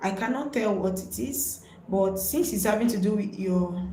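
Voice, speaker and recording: A woman with a Nigerian accent at a fairly slow pace, amid audible room echo and noticeable background noise. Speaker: nurse, health educator. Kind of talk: live-stream health talk. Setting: live stream.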